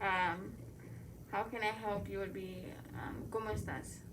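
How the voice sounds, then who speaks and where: A woman is speaking with audible room echo. There is noticeable background noise. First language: Spanish. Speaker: student. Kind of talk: tutorial. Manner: halting.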